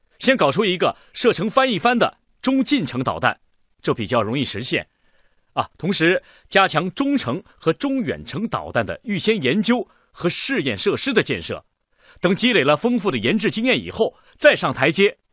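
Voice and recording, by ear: A man puts on a character voice, high in pitch with very wide swings and a fairly bright tone with a slightly husky edge. He keeps a moderate pace, and the sound is dry and close with no echo. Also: very clean recording, silent background.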